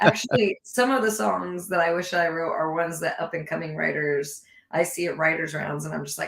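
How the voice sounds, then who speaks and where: Speaking at a moderate pace, a woman with a fairly low pitch uses lively intonation. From California. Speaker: country singer-songwriter. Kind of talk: casual interview chat. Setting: live online show.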